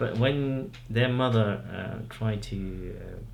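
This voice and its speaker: A man with a Nepali accent speaks, with audible room echo. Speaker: parent in interview. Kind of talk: interview. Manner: halting.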